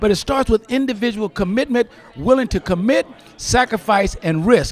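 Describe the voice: A man talks with an American accent and ordinary pitch variation.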